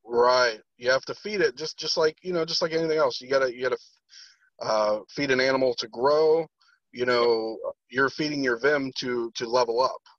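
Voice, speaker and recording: An ordinary speaking voice from a man at a medium pitch, with ordinary pitch variation, a moderate pace, and a dry, close sound with no echo. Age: 30s. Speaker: podcast host. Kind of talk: casual chat.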